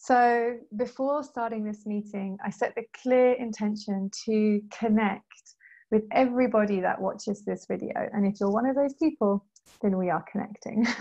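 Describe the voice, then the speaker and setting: At a moderate pace, a woman speaks in a dark, mellow, somewhat breathy tone at a fairly high pitch with ordinary pitch variation over a quiet background. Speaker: meditation guide. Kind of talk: casual talk to camera.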